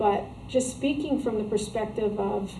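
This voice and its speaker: A woman's fairly high voice with an American accent, fairly even intonation and audible room echo. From New Jersey. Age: 60s. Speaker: author. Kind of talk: interview. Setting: shop. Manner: halting.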